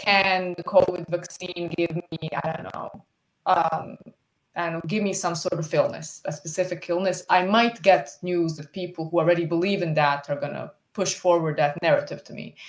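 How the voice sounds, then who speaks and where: Speaking with a Bosnian accent, a woman talks at a moderate pace in a fairly low pitch with fairly even intonation. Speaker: student. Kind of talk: conference presentation. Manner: halting, many repetitions.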